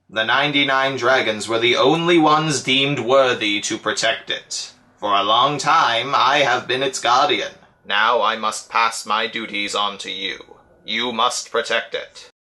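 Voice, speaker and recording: A man performs a put-on character voice. His pitch is medium and his pace is moderate. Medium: solo performance.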